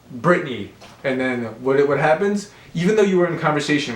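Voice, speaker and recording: Ordinary pitch variation with audible room echo. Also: man. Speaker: realtor and book reviewer. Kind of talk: casual monologue book review. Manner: hesitant, many fillers and repeats.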